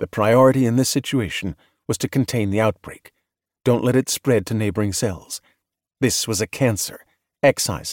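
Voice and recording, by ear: The passage is read aloud in a natural voice. Little sound intrudes from the background, which is quiet.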